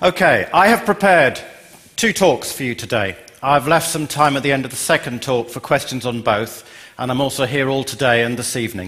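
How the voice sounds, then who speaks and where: A man with an English accent talks fairly quickly at a medium pitch. His intonation is lively, and there is noticeable background noise. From England. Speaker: software company CEO. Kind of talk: conference talk.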